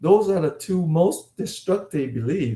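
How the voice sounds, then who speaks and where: A man with a Vietnamese accent and a dark, mellow tone speaks with ordinary pitch variation. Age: 50s. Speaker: life coach, former dentist. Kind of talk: online coaching session.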